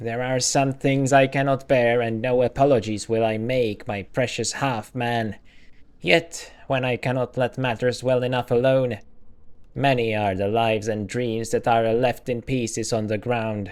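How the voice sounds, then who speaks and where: A put-on character voice from a man, moderate in speed and medium in pitch. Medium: game stream. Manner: archaic, inverted phrasing.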